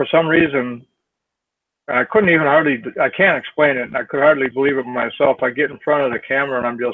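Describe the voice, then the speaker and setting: This man speaks very fast, his fairly high pitch showing ordinary variation. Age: 60s. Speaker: network marketer. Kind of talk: casual chat.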